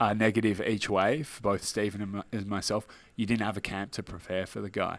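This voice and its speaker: A man talks in a strong Australian accent at a fairly low pitch. The recording is very clean, with a silent background. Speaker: mixed martial arts fighter. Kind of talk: interview. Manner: casual.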